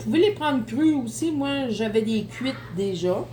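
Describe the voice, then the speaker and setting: Noticeable background noise and audible room echo surround a woman speaking at a moderate pace in a Quebec accent. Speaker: home cooking youtuber. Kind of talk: cooking tutorial. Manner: casual, chatty.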